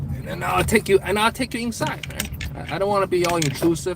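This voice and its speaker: Over noticeable background noise, a man speaks at a fairly quick pace in an animated tone with ordinary pitch variation. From China. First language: Chinese. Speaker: live streamer. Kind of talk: casual live stream chat. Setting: in a car.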